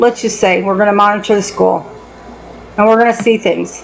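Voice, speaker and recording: A woman's animated voice with an American accent at a fairly quick pace, over noticeable background noise. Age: 60s. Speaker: vlogger and former medical worker. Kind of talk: personal commentary monologue.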